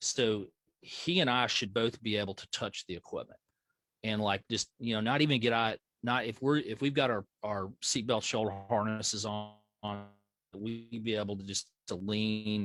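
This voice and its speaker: In a Southern US accent, a man talks at a moderate pace with fairly even intonation. The sound is dry and close, without echo. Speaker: flight medical educator. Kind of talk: training class. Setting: video call. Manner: halting, repetitive fillers.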